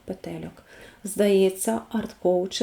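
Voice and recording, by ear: The speech is reading aloud in a natural voice.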